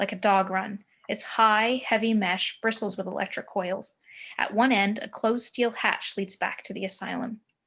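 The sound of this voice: Unstrained reading voice, its intonation fairly level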